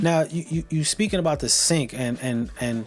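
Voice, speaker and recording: A man with ordinary pitch variation and a fairly high voice talks at a moderate pace amid noticeable background noise. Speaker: radio show host. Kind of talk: podcast interview host. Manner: upbeat.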